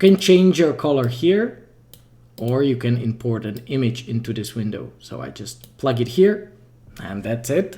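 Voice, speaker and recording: This man speaks with a Czech accent at a fairly slow pace, his voice somewhat breathy. His tone is dark and mellow, and his intonation is lively. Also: medium pitch for a man. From Czech Republic. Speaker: 3D artist and game developer. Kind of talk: livestream tutorial. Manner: casual, thinking aloud.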